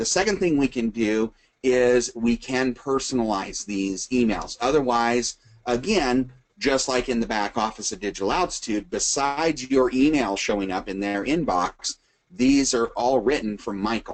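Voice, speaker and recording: At a moderate pace, a man speaks in a medium pitch with ordinary pitch variation and an unremarkable speaking voice. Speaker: webinar presenter, retired firefighter. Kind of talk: tutorial. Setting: recorded webinar.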